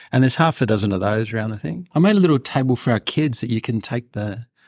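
Very fast and at a medium pitch, a man talks with ordinary pitch variation on a very clean recording with a silent background and a dry, close sound without echo. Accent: Australian. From Australia. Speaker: intensive care researcher. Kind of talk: interview about a clinical trial. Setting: studio, in person.

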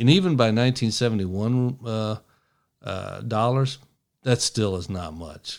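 A man speaks at a medium pitch with lively intonation. The recording is very clean, the background silent. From East Tennessee (Appalachia), born in Michigan. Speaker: podcast host, former FBI agent. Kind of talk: political commentary monologue. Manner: animated, run-on speech.

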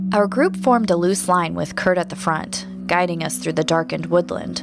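A woman speaks in a dramatic tone. Music plays in the background. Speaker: podcast host and narrator. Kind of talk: scripted horror narration, audio drama. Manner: dramatic, suspenseful storytelling.

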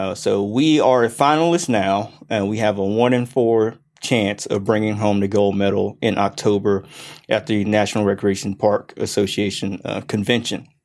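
In an ordinary speaking voice, this man's fairly low pitch shows ordinary pitch variation as he goes at a moderate pace. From US South, Gwinnett County, Georgia. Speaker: county parks and recreation director. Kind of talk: interview.

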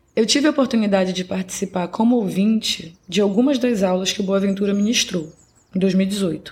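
A woman's somewhat breathy, medium-pitched voice at a moderate pace, with ordinary pitch variation. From Belém, Pará, northern Brazil. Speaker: podcast host. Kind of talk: scripted narration.

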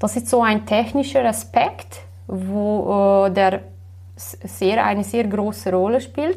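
A woman with a Slovenian accent, at a very slow pace. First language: Slovenian (speaking German). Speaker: web developer. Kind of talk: interview. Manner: hesitant with many fillers.

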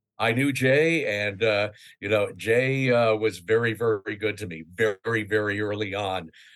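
A man with a normal speaking voice talks at a fairly slow pace and fairly low pitch, with ordinary pitch variation, against a quiet background. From New York City area. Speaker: radio news correspondent. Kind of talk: casual interview.

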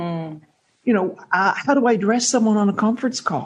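Speaking with an American accent, a woman uses a fairly high, somewhat breathy voice. Her pace is moderate and her pitch variation ordinary. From Canada. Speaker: networking expert and author. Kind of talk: interview conversation.

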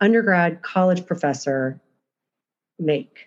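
Using an unremarkable speaking voice, a woman talks at a moderate pace with lively intonation and a fairly low pitch. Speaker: podcast host. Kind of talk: interview, conversational.

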